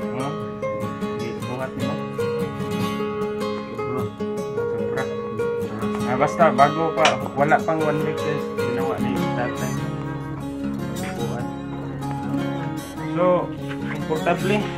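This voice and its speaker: Over loud music in the background, a man talks at a very slow pace with long, frequent pauses. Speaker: vlogger. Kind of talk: casual talk to camera. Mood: relaxed, playful. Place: home room.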